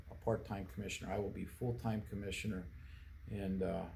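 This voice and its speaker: A man's fairly low voice with ordinary pitch variation, fairly quick in pace, with audible room echo. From central Pennsylvania, US. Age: 60s. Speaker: political candidate. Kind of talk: interview. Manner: halting, many fillers and restarts.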